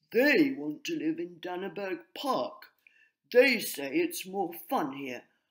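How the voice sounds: The recording has a natural reading voice and a quiet background.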